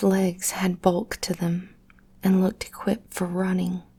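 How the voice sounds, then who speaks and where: Soft-spoken and somewhat breathy, a woman talks in a calm tone with monotone, flat intonation. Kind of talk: personal story narration. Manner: soft-spoken, calm.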